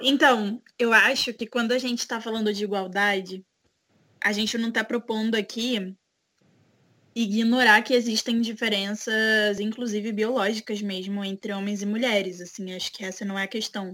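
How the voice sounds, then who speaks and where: In a monotone, flat delivery, a woman with a fairly high pitch talks at a moderate pace. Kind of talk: casual chat.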